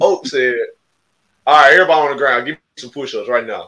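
This is a man. He speaks with an Alabama accent. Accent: Southern US (Alabama). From Alabama, US South (Marengo County, Demopolis area). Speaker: podcast co-host, basketball player. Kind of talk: casual interview.

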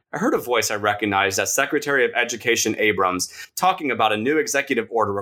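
Text is being read aloud in a natural voice.

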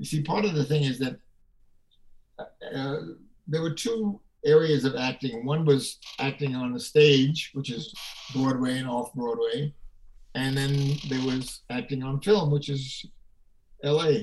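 A man speaks with an American accent at a fairly slow pace. His voice is fairly high and somewhat breathy, with ordinary pitch variation. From Brooklyn, New York. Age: 90s. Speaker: actor and former news anchor. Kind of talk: casual interview chat.

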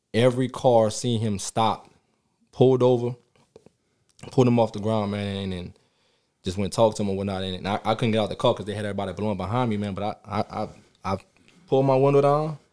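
With a dark, mellow tone and a New Orleans accent, a man talks at a very fast pace in a fairly low pitch with ordinary pitch variation and long, frequent pauses, on a very clean recording with a silent background. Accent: New Orleans Southern US. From New Orleans, Louisiana. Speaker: special education teacher. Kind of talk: casual chat. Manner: halting, many repetitions.

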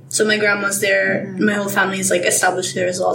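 A woman speaks over noticeable background noise. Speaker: guest, student. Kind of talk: casual chat.

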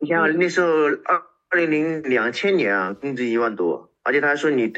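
There is a bright, sharp tone to this man's voice. He speaks with lively intonation against a quiet background. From China, Shenzhen. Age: 30s. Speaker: postal worker. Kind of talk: casual interview.

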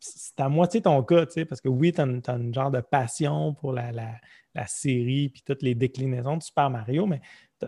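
With a dark, mellow tone and a somewhat breathy quality, this voice keeps a moderate pace and ordinary pitch variation. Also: man. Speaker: podcast host. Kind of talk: casual chat.

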